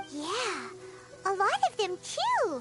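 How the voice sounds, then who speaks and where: An extremely high, put-on character voice comes through with an energetic tone over clear background noise. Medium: video game. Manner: chirpy, energetic.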